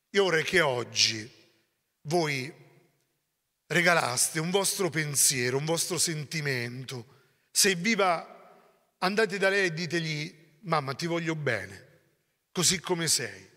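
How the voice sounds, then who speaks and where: At a very slow pace with long, frequent pauses, a man with a fairly high pitch and a bright, sharp tone shows ordinary pitch variation over a quiet background. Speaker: priest, community leader; priest. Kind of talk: sermon-like talk. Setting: monastery gathering with audience. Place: church. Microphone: handheld.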